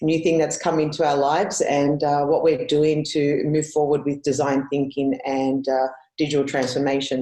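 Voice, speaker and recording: A woman speaks in an Australian accent. Her pitch is very deep and low, with a dark, mellow tone. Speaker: conference speaker. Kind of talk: conference presentation. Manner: hesitant, many fillers.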